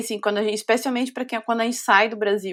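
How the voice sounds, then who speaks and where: Very clean audio plays over a silent background. The speaker's intonation is fairly even. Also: woman. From southern Brazil, greater Porto Alegre. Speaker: musician. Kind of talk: casual interview chat.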